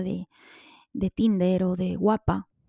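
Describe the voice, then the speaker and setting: A woman speaks at a medium pitch in a dark, mellow tone, very slowly, with monotone, flat intonation. The recording is very clean, dry and close, with a silent background and no echo. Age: 30s. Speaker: podcaster. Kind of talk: personal monologue.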